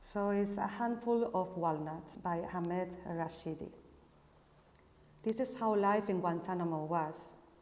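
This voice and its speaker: With a Spanish accent and audible room echo, a woman speaks at a fairly slow pace in a dark, mellow tone, with a medium pitch and fairly even intonation. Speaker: architect and researcher. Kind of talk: casual introduction; reading aloud. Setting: Instagram live broadcast.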